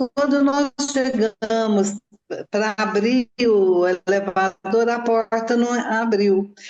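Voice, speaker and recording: Very slowly, a woman speaks at a fairly high pitch with fairly even intonation. Her loudness stays very even throughout. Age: 60s. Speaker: mother of a crime victim. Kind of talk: interview testimony.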